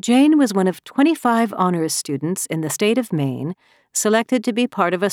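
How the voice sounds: Intonation here is lively. The speaker reads in a natural voice.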